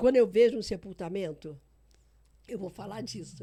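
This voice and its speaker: Delivered at a moderate pace, this voice has a dark, mellow tone and lively intonation. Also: woman. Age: 70s. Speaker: pastor. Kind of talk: casual chat.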